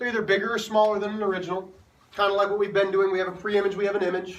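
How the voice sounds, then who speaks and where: Amid noticeable background noise and audible room echo, a man talks at a very fast pace in a high pitch. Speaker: math teacher. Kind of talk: classroom lecture. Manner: animated.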